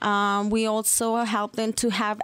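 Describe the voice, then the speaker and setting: On a very clean recording with a silent background, a woman speaks very slowly in a fairly high voice. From Mexico. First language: Spanish. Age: 30s. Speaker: financial services representative. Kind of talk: radio interview.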